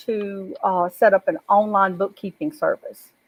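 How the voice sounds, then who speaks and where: A woman uses a normal speaking voice, pitched in the middle range, and keeps a moderate pace. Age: 60s. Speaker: life coach. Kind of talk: panel testimony. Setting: live video broadcast.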